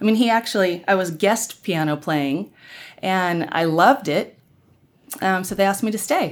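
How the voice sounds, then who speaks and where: A woman with a normal speaking voice, medium pitch and an American accent, moderate pace and lively intonation, on a very clean recording with a silent background. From Oklahoma (Norman). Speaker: worship musician and race-dialogue event organizer. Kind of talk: interview conversation.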